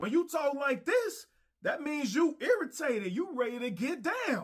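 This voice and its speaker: A man speaks in a put-on character voice, pitched extremely high. His pitch swings very widely. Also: moderate pace. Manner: irritated.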